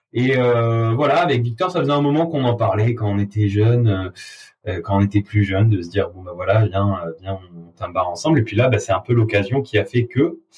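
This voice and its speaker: Somewhat breathy, a man talks at a moderate pace and a medium pitch with lively intonation. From southern France, Avignon. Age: 20s. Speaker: bar owner. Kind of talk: interview. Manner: hesitant, many fillers.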